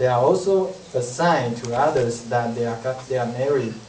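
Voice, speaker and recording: There is noticeable background noise as a man speaks at a moderate pace. His pitch is medium, with ordinary variation. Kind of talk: read-aloud class presentation. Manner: halting, with self-corrections.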